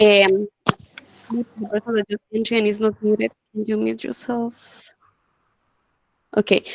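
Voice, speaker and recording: A fairly high-pitched woman with fairly even intonation, in a dry, close sound with no echo. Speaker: student workshop presenter. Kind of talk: online workshop presentation. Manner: fast.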